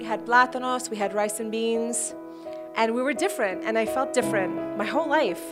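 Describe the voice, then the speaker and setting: A woman with an American accent at a fairly quick pace, music in the background. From United States. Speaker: motivational speaker. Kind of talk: personal story told to camera.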